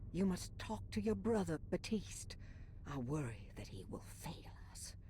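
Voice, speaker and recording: A whispered, put-on character voice at a moderate pace, over clear background noise. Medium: video game. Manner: solemn, conspiratorial.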